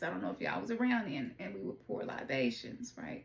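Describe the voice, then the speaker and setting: A woman with a Southern US accent talks at a fairly quick pace over noticeable background noise. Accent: Southern twang. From US South, Memphis, Tennessee. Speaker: oracle card reader. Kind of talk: tarot reading.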